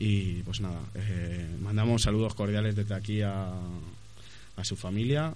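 Fairly slow, fairly low-pitched man with ordinary pitch variation and audible room echo. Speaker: radio host. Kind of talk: casual radio chat. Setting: studio. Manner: halting.

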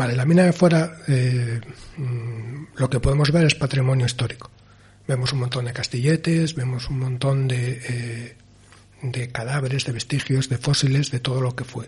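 Somewhat breathy and fairly even in intonation, a man talks at a moderate pace with a medium pitch. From Asturias. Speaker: film director. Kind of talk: interview.

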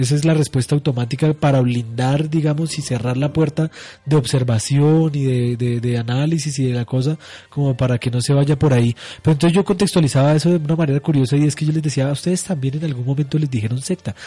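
Talking at a very fast pace, a man with a fairly high pitch sounds somewhat breathy and dark, mellow in tone, his intonation fairly even. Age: 30s. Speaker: radio host. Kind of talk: radio talk show on religion.

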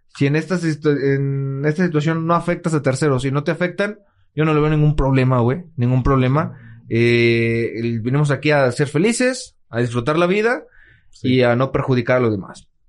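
The voice moves at a moderate pace with very even loudness and ordinary pitch variation over a quiet background. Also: man, fairly high pitch for a man. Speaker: podcast co-host. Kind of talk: casual chat. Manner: halting.

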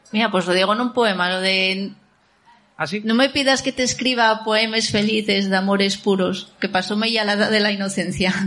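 In a room with audible echo, a woman speaks at a medium pitch. Her pace is moderate and her intonation fairly even. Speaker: poet. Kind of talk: casual chat. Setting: stage with audience.

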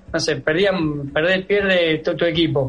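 The speaker is a man whose intonation stays fairly even. Background noise is noticeable. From Argentina, Santa Fe province. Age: 30s. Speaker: footballer. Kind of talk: interview. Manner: halting, many fillers.

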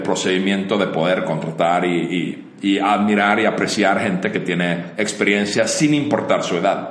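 Against noticeable background noise and audible room echo, a man with a Finnish accent talks at a fairly slow pace with lively intonation. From Finland. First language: Finnish (speaking Spanish). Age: 40s. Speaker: entrepreneur. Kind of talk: casual interview chat.

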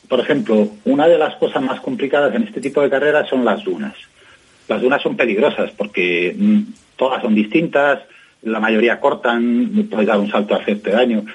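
The man's medium-pitched voice swings very widely in pitch. His speed is moderate. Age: 50s. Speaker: journalist and rally co-driver. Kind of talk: interview. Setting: phone call.

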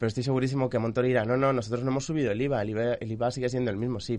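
Monotone, flat intonation runs through the speech. The man's pitch is medium. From Mallorca, Spain. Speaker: economic journalist. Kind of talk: radio panel discussion.

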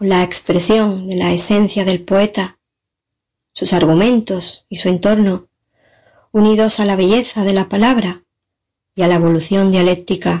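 Against a quiet background, a somewhat breathy voice with a dark, mellow tone speaks fairly slowly with fairly even intonation. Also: woman. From San Fernando, Cádiz, Spain. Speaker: poet. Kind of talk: recorded testimony and poetry reading.

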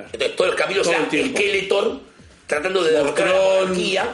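The speaker has a Rioplatense accent, with noticeable background noise and audible room echo. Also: man. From Buenos Aires, Argentina. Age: 30s. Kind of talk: casual chat.

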